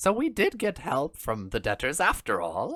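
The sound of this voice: The speaker uses a put-on character voice. Its pitch is middle, and the pace is moderate.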